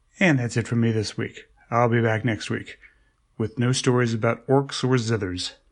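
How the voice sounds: The clip features a natural reading voice. That voice is all there is to note.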